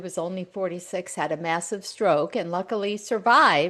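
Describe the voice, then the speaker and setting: Over a quiet background, a woman talks at a fairly low pitch with ordinary pitch variation. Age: 60s. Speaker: author and caregiver. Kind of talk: interview conversation.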